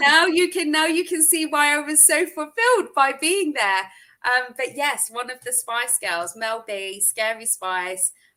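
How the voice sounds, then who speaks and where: In a British accent, a woman projects a raised, high voice with a bright, sharp tone and very wide pitch swings. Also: fairly slow pace. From UK. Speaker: social media marketing expert. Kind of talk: interview chat.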